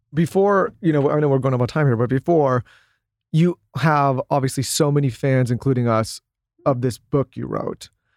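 A man with an American accent and a normal speaking voice, fairly high in pitch at a moderate pace, in dry, close sound with no echo and a very clean recording over a silent background. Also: ordinary pitch variation. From Southern California. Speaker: podcast co-host. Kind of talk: casual interview.

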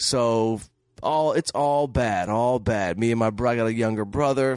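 A man with an unremarkable speaking voice, medium pitch and fairly even intonation, against a quiet background. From Detroit, Michigan. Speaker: comedian and film director. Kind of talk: casual chat. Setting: studio.

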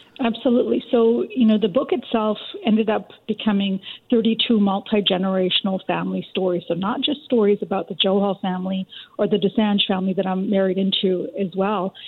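At a fairly quick pace, a woman talks in a normal speaking voice of medium pitch, with ordinary pitch variation. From Richmond, BC, Canada. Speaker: documentary co-producer and author. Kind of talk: radio interview.

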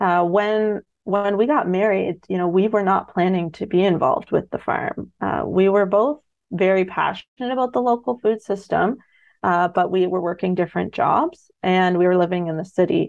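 A woman with a Canadian accent and an unremarkable speaking voice talks at a moderate pace and medium pitch, with ordinary pitch variation, against a quiet background. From Ontario, Canada. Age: 30s. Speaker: farmer. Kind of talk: radio interview.

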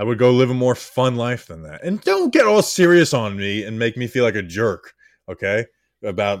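At a moderate pace and medium pitch, a man with an unremarkable speaking voice uses lively intonation and big swings in loudness, recorded very cleanly with a silent background. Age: 20s. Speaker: sports podcast host. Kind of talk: casual chat.

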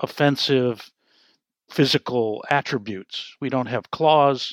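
Against a quiet background, a man speaks at a very slow pace, the sound dry and close with no echo. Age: 70s. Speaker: author. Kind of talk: interview.

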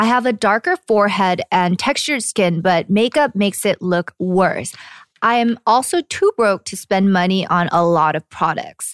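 Speaking in a plain, everyday voice at a moderate pace, a woman of medium pitch uses lively intonation in a very clean recording with a silent background and a dry, close sound with no echo. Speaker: podcast host. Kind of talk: casual chat. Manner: laughs often.

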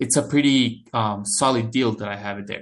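At a fairly quick pace, a man with a Spanish accent talks at a medium pitch over a quiet background. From El Salvador. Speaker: international student. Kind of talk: interview. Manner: halting.

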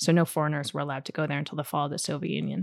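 A woman with an American accent speaks in a very deep, low voice with vocal fry. The recording is very clean and dry, with a silent background and a close sound free of echo. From New Jersey, US. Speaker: novelist. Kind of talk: interview before audience. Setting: bookstore event.

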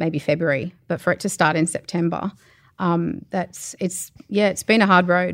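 A woman with an Australian accent and a fairly low pitch, at a moderate pace with ordinary pitch variation, on a very clean recording with a silent background. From Australia, New South Wales. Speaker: animal welfare inspector. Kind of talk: interview. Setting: backstage at a comedy show.

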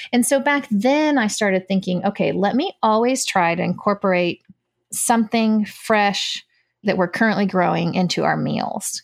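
Using an ordinary speaking voice, a woman with an American accent talks at a moderate pace with ordinary pitch variation and very even loudness. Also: medium pitch for a woman. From United States, Cuban parents. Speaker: homesteader and former nurse. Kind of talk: casual chat.

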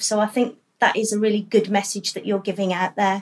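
An enthusiastic-sounding woman with a fairly high pitch. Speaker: hospital staff member. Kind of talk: interview chat. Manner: enthusiastic, positive.

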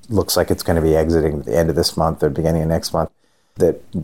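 A man's very deep, low voice with a dark, mellow tone on a very clean recording with a silent background. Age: 50s. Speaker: angel investor. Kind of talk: interview.

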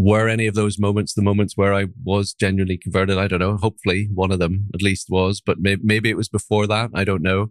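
A man with a fairly low pitch speaks at a very fast pace in monotone, flat intonation. The recording is very clean, with a silent background. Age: 40s. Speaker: minister. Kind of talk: interview conversation. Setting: podcast interview.

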